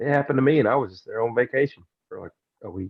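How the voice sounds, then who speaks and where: Very fast speech in a Southern US accent. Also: man. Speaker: podcast co-host. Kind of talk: casual chat.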